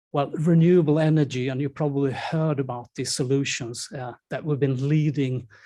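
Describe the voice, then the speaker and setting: A dark, mellow voice with a Swedish accent, somewhat breathy and monotone in flat intonation, is captured in a very clean recording with a silent background. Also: man. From Sweden. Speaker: event moderator. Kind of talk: event moderation. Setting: stage with audience.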